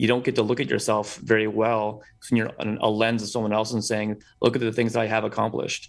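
Over a quiet background, a man speaks at a very fast pace and medium pitch with fairly even intonation. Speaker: premed student. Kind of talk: casual chat.

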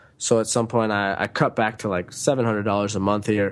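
In a normal speaking voice with an American accent, the speaker talks at a fairly quick pace with fairly even intonation against a quiet background. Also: man. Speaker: author and digital nomad. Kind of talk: casual interview.

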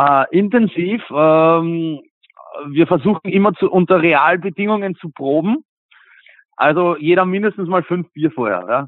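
Long, frequent pauses within a fairly slow pace, plus ordinary pitch variation. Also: man, high pitch for a man. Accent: Viennese. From Vienna, Simmering. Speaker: punk band singer. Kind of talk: interview. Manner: hesitant, many fillers.

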